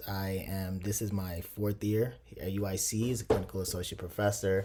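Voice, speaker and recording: A man speaks at a moderate pace with a Chicago accent. His tone is dark and mellow. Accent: Chicago American. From Chicago, born in Nigeria. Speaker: professor. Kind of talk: interview.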